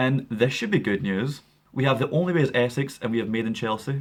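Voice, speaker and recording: In a Scottish accent, a man talks at a very fast pace with ordinary pitch variation. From Scotland. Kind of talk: casual news commentary to camera.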